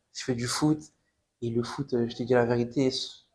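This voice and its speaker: A man is speaking here. His pitch is medium and his pace is moderate. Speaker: footballer giving testimony. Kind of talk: testimony. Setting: podcast interview. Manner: casual, repetitive.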